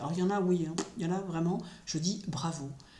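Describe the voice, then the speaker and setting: The woman's voice is fairly low in pitch. Audible room echo surrounds it. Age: 60s. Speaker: astrologer and spiritual commentator. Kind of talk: solo spoken commentary. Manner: hesitant with frequent fillers.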